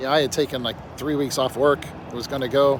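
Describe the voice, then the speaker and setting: With an American accent, a man speaks at a medium pitch and a moderate pace. Noticeable background noise is present. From Pennsylvania, US. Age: 60s. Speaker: vlogger. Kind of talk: casual monologue. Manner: rambling, halting.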